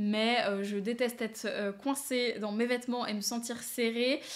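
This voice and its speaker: Fairly slow in pace, a woman's voice keeps a fairly even intonation. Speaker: knitting and sewing podcaster. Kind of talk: casual chat. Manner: hesitant, many fillers.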